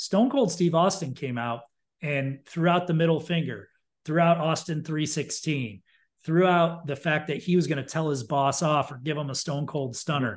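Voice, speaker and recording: A man with an American accent talks at a moderate pace, his pitch fairly high with ordinary variation. It is a plain, everyday voice against a quiet background. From upstate New York. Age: 40s. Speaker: marketing executive. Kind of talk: casual chat.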